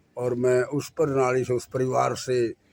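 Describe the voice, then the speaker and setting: A man's monotone, flat voice at medium pitch, over noticeable background noise. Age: 70s. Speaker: folk theatre performer and poet. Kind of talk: interview.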